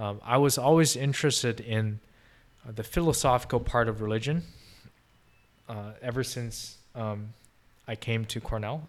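With long, frequent pauses, a man at a medium pitch talks on a very clean recording with a silent background. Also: ordinary pitch variation, moderate pace. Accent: Chinese. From China (Beijing). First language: Mandarin Chinese. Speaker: podcast guest, recent graduate. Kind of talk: casual interview chat.

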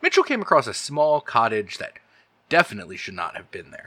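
The man's voice has a bright, sharp tone. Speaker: game master and podcast host. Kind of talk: actual play horror roleplaying game, with podcast intro and outro. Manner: narrating descriptively, with some hesitation.

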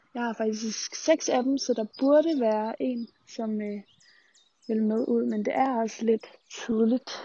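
Very slowly, a woman talks in a fairly high register with intonation that stays fairly level. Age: 20s. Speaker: student radio host. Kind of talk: vlog-style monologue. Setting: outdoors.

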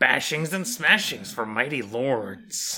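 Fairly slow, medium-pitched put-on character voice from a man. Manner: creature voice.

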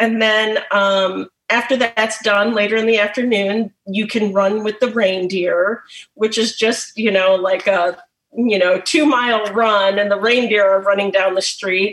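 A woman with an American accent talks at a fairly slow pace in an ordinary speaking voice. Her intonation is fairly even and her loudness very even. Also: medium pitch for a woman. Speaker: pet massage therapist. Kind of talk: presentation.

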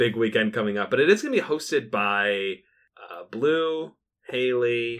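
A man speaks in a normal speaking voice at medium pitch and a moderate pace. His loudness swings widely, while his pitch varies in an ordinary way. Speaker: podcast host. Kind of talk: casual chat.

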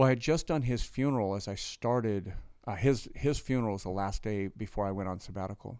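This man has a fairly low pitch and a dark, mellow tone, speaking at a fairly quick pace with ordinary pitch variation on a very clean recording with a silent background. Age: 50s. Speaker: pastor and former prisoner. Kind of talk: testimony.

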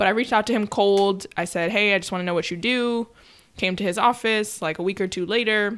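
On a very clean recording with a silent background, a woman with an American accent uses a normal speaking voice at medium pitch, talking at a fairly quick pace with fairly even intonation. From New York. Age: 20s. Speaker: documentary producer. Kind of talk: casual chat.

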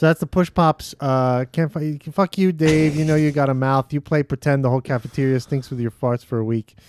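With an unremarkable speaking voice, a man talks at a fairly high pitch, barely pausing, in a dry, close sound with no echo. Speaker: podcast co-host. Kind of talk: casual chat. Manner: laughs often.

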